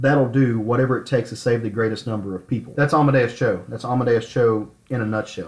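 Somewhat breathy and medium in pitch, a man speaks at a fairly quick pace with ordinary pitch variation. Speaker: podcast host. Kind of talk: casual chat.

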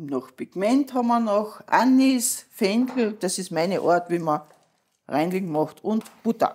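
A woman talks at a very slow pace. Her medium-pitched voice swings very widely in pitch. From Austria, Carinthia. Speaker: cook and tavern owner. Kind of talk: cooking instruction.

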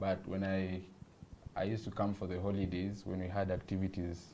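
The voice moves at a moderate pace in a monotone, flat intonation, with light background noise. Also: man. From Kenya. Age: young. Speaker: visual artist. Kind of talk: casual chat. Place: studio. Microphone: lapel.

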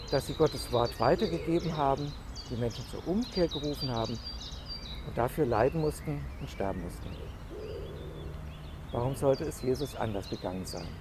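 Leaving long, frequent pauses, a man speaks with a dry sound with no echo amid noticeable background noise. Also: moderate pace. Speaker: pastor giving a devotional. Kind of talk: church devotional / sermon. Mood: calm, reflective. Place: garden.

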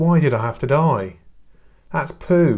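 Speaking at a very slow pace, a man with a medium pitch and slightly mellow tone uses lively intonation.

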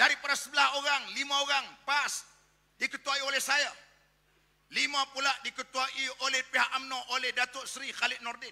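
Against a quiet background, a man speaks in a raised, projected voice at an extremely high pitch, with a bright, sharp tone, monotone, flat intonation and a moderate pace. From Malaysia. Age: 50s. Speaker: politician and Islamic cleric; politician. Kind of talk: political rally speech. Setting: stage with audience. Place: hall. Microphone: podium.

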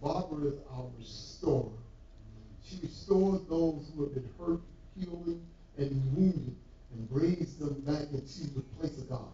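Fairly slow speech with big swings in loudness, ordinary pitch variation and audible room echo. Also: man. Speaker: church leader; pastor. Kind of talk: church announcements. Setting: church. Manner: halting. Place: church. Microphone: camera far.

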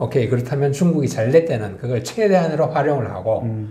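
This man's voice sits fairly high, with a dark, mellow tone and vocal fry. His intonation is lively, and the room echo is audible. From South Korea. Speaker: author and publisher; interviewee. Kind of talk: interview. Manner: hesitant with many fillers. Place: studio.

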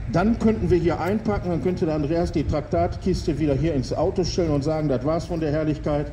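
A man's voice over noticeable background noise. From Gelsenkirchen, Ruhr area, Germany. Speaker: street preacher. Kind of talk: open-air street sermon to passers-by, with urgent calls to repent. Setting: outdoors in front of a town hall and church. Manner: emphatic, fervent, repeating for emphasis, persuasive; rhetorical, with dry jokes, then solemn and appealing at the close. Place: street. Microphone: handheld.

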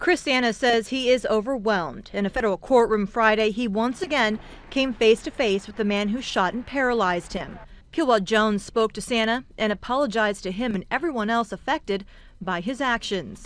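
A woman speaks at a fairly quick pace with fairly high pitch, ordinary pitch variation, and a plain, everyday voice. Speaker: television news reporter. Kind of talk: live TV news report.

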